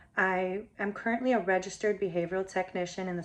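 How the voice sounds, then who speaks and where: With a Spanish accent, a woman speaks in a monotone, flat intonation. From Miami, Florida. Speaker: applicant, behavioral technician. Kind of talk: application video statement. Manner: formal.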